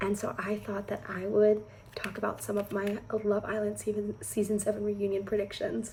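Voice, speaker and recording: Soft-spoken and fairly high in pitch, a woman talks at a moderate pace. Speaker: beauty and reality TV vlogger. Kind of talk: casual chat. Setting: at home indoors.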